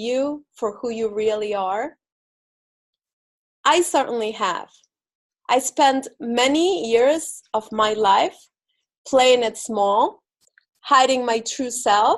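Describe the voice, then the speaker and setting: In a quiet setting, a woman with an Argentine accent speaks very slowly in a high voice. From Argentina. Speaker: spiritual speaker and visibility coach. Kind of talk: inspirational talk. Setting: spiritual center stage with audience.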